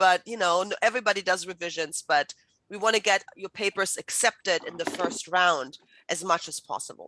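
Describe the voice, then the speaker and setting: A woman with a German accent speaks at a fairly quick pace in a bright, sharp tone, with ordinary pitch variation and a dry, close sound with no echo. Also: big swings in loudness. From Germany. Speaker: writing instructor. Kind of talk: lecture.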